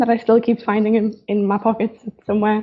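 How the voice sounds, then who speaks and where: The speaker has a strong Newcastle accent. The pace is fairly quick. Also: woman. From northeast England, Newcastle. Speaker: fashion designer. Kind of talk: live stream talk. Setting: live stream. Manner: casual, hesitant with fillers.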